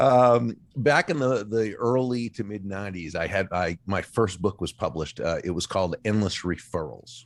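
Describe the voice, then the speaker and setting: A man with a normal speaking voice and fairly low pitch, lively intonation at a moderate pace with hardly any pauses, on a very clean recording with a silent background. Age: 60s. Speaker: author. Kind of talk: interview.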